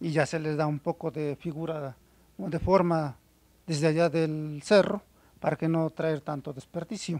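A man speaks at a very slow pace with a fairly high pitch. The sound is dry, with no echo. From central Mexico, Puebla (San Nicolás de los Ranchos); Puebla, Mexico. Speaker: stone artisan. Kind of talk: interview. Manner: halting, many fillers.

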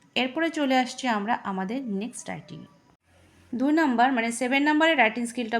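A woman with a plain, everyday voice and ordinary pitch variation. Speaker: English tutor for school students. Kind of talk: tutorial.

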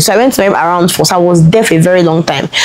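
A woman with a Nigerian accent talks at a very fast pace and a fairly low pitch. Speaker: lifestyle vlogger. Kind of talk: personal storytelling vlog. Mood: emotional, earnest storytelling. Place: home room.

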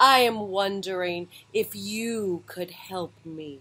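This is a put-on character voice that sounds female. It sits at medium pitch and moves very slowly. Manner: sad and pathetic.

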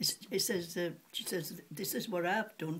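With light noise behind her, a woman in a Yorkshire accent speaks fairly slowly in a fairly low, somewhat breathy voice with ordinary pitch variation. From Sheffield, England; England. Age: 80s+. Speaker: retired cutlery polisher; elderly storyteller. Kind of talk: interview answer. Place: home room. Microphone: phone near.

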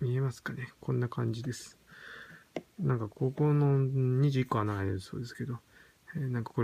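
With light background noise, a man speaks at a fairly quick pace in a somewhat breathy voice with fairly even intonation. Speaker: product reviewer. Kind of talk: product unboxing review. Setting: home at night. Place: home room. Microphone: phone near.

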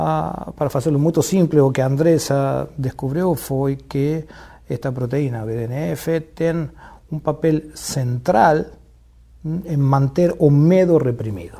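Against a quiet background, a man talks at a very slow pace in a fairly high pitch with ordinary pitch variation. His tone is dark and mellow, and somewhat breathy. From Argentina, Buenos Aires. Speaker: neuroscience professor. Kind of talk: interview. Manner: mixes Spanish and Portuguese, halting. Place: studio. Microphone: lapel.

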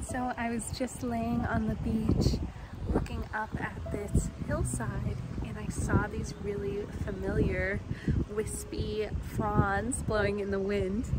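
Amid loud background noise, a woman speaks at a very slow pace, the sound dry with no echo. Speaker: cooking vlogger. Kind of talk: casual vlog chat. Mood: cheerful, excited. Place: open country. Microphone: phone near.

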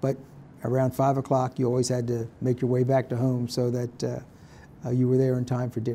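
A man's dark, mellow voice at a moderate pace, monotone and flat in intonation, with light background noise. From southern New Jersey. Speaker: retired state supreme court justice. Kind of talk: elder life story: calm, reflective oral-history interview recalling family and boyhood. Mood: calm, reflective. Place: meeting room.

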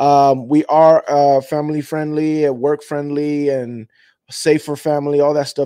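Against a quiet background, a man talks in a dark, mellow tone, the sound dry with no echo. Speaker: fan channel host. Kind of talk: casual show intro chat.

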